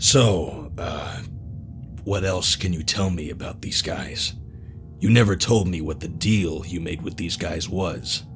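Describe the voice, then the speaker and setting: A man puts on a character voice with a very deep, low pitch. He goes at a fairly slow pace over clear background noise. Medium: audio drama. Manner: casual, guarded.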